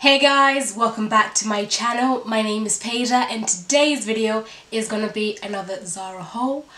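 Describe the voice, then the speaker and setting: Noticeable background noise sits behind a woman's voice. She speaks at a moderate pace in an animated tone. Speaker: fashion vlogger. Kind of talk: try-on haul. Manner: chatty, animated.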